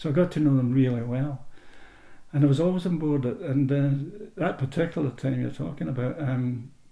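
The voice has a dark, mellow tone, somewhat breathy, moving at a fairly quick pace with ordinary pitch variation. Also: man, fairly high pitch for a man. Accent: Ayrshire. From Scotland, Irvine in Ayrshire. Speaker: oral history interviewee. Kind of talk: personal storytelling. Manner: halting, with repetitions.

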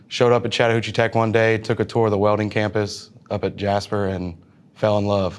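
A man's fairly low voice, monotone and flat in intonation, at a fairly quick pace. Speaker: welding instructor. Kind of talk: interview answer. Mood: relaxed, warm. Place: classroom. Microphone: lapel.

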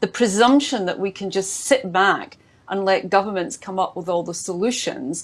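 A woman with a Scottish accent talks at a moderate pace with lively intonation. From Scotland. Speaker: government minister; conference speaker. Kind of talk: panel discussion; speech at an online assembly. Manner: hesitant with many fillers. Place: home room. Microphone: earbuds.

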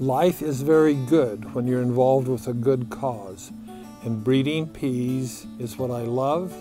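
Against clear background music, a man talks at a fairly slow pace with ordinary pitch variation in a dry sound with no echo. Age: 80s+. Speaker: plant breeder. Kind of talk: documentary interview answer. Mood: warm, content, enthusiastic. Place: farm machine. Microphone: lapel.

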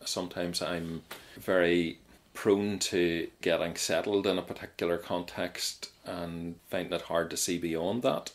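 A man's very deep, low pitch in a Mid Ulster accent, at a fairly slow pace with fairly even intonation, in a very clean recording with a silent background. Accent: Northern Irish (Mid-Ulster). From Northern Ireland, County Tyrone. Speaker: Methodist minister, church president. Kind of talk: interview testimony. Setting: radio show recording.

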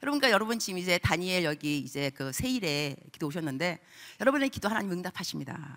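A woman with a fairly low pitch talks in an animated tone at a very fast pace. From Korean-American. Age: 50s. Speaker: missionary preacher. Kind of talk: sermon. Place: church. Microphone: handheld.

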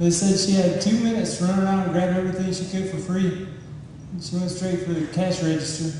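Amid light background noise and strong room echo, a man speaks at a high pitch and a fairly quick pace. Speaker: stand-up comedian. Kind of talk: stand-up comedy routine. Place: stage.

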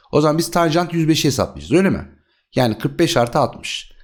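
A man with vocal fry speaks with lively intonation in a very clean recording with a silent background. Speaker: math teacher. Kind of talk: tutorial. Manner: slight lisp at times; conversational, rhetorical questions.

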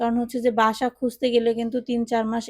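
A woman's fairly high voice with a dark, mellow tone, monotone and flat in intonation, in a dry, close sound with no echo. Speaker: cooking and lifestyle vlogger. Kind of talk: vlog narration.

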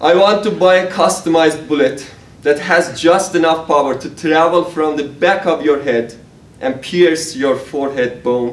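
A man talks at a fairly slow pace with a fairly high pitch, and audible room echo surrounds his voice. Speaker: software engineer and amateur writer; guest. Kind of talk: prose reading. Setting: stage with audience. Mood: dark, intense poem. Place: hall. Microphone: camera far.

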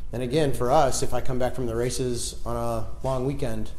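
A man talks at a moderate pace while light background noise is heard. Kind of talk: casual tour talk. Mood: relaxed, proud. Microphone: lapel.

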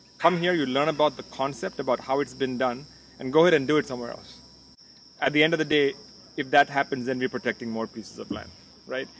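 The voice has ordinary pitch variation. The sound is dry with no echo, over light background noise. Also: man. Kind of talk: interview answer. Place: garden. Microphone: studio mic.

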